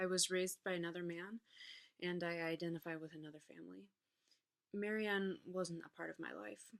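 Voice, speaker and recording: A plain, everyday voice from a woman, fairly low in pitch, at a fairly quick pace, with ordinary pitch variation and big swings in loudness. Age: 20s. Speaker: psychology student and classical musician. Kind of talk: funeral tribute speech read from notes.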